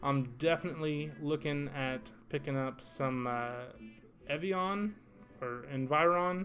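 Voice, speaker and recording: Relaxed in tone, a man speaks at a very slow pace and a fairly high pitch, with ordinary pitch variation and music in the background. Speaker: crypto livestreamer. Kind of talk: casual livestream commentary. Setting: livestream with chat. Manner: relaxed, laid-back.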